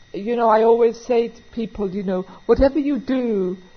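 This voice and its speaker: With an American accent, a woman talks at a moderate pace, her voice somewhat breathy and her intonation lively. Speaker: recovery meeting speaker; auctioneer. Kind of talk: recovery meeting talk, conversational and humorous.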